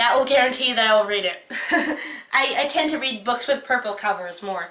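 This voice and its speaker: At a fairly quick pace, a woman speaks in a raised, projected voice with a high pitch. Her tone is bright and sharp. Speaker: book reviewer. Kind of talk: casual talk to camera.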